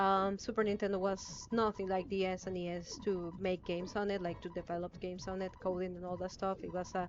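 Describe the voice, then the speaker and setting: Someone with a non-native accent talks at a fairly quick pace. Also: woman. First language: not English. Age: 20s. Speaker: gaming streamer. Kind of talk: live gameplay stream commentary. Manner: halting, many fillers.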